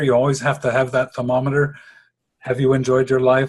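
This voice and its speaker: A man's medium-pitched voice comes across as somewhat breathy. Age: 60s. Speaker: interviewee, retired tradesman and businessman. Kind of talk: interview.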